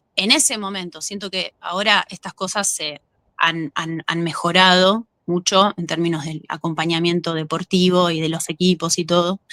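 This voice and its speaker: A woman speaks in a Rioplatense accent, fairly low in pitch with a bright, sharp tone. Her loudness swings widely, and the sound is dry and close with no echo. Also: fairly even intonation, moderate pace. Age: 30s. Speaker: actress and former gymnast. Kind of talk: interview. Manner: halting.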